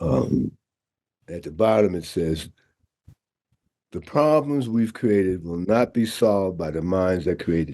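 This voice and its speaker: A man with a very deep, low pitch and a dark, mellow tone speaks at a fairly slow pace with lively intonation. His loudness swings widely, and he takes long, frequent pauses. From New York City (Harlem). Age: 70s. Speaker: scuba diving instructor and nonprofit founder. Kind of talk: interview conversation.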